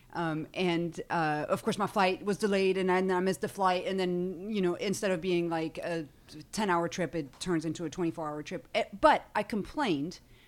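A woman with a French accent is heard on a very clean recording against a silent background. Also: medium pitch for a woman, ordinary pitch variation, moderate pace. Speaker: stand-up comedian. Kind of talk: casual chat. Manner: animated.

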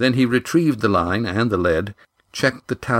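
Everything behind the voice is quiet. What we hear is a natural reading voice.

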